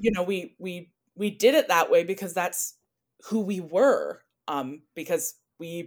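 A woman with an unremarkable speaking voice talks at a medium pitch, her intonation lively, in a very clean recording over a silent background. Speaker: scholar and podcaster. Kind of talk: casual interview conversation. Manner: thoughtful, with filler words and pauses.

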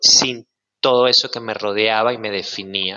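The pace is very slow as a man talks. Fairly even intonation marks his delivery. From Venezuela, Maracay. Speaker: sound healer, former actor. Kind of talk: casual chat.

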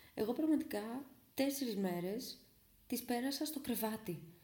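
The voice has a dark, mellow tone, somewhat breathy, with lively intonation. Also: woman. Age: 20s. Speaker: podcaster. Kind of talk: casual storytelling monologue. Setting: at home.

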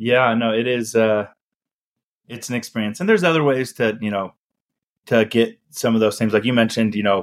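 In an American accent, a man talks at a fairly quick pace with medium pitch, ordinary pitch variation and an ordinary speaking voice, the sound dry and close with no echo. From US (Utah), with childhood years in Chile. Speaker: startup founder and CEO. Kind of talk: interview conversation.

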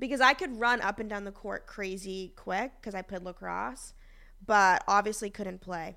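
In a very clean recording with a silent background, a woman with an American accent speaks at a moderate pace in a bright, sharp tone, with ordinary pitch variation and big swings in loudness. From Boston, US Northeast. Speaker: magazine editor and podcast co-host. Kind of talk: casual chat. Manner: talkative.

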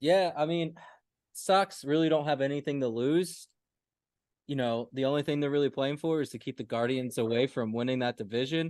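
At a fairly high pitch, a man speaks in an unremarkable speaking voice with ordinary pitch variation and a moderate pace. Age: 20s.

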